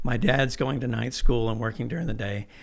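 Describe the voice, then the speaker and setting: A man's fairly quick speech with vocal fry and audible room echo. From Texas, Irving (born in Mexico City, moved at 4). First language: Spanish. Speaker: architect. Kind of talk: casual interview.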